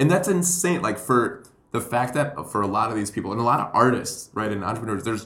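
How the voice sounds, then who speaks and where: Audible room echo accompanies a man of medium pitch who speaks at a fairly quick pace with lively intonation. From Puerto Rico. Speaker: comedian and educator. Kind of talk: casual chat.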